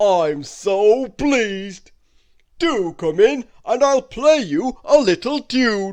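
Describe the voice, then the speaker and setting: Over a quiet background, a man does a loud, put-on character voice, high-pitched and very slow, with very wide pitch swings. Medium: read story. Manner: loud, booming.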